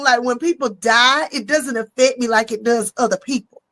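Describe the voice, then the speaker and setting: An animated woman speaks with an American accent at a moderate pace. Her intonation is lively. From US South. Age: 50s. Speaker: comedian. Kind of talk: casual chat. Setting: live stream.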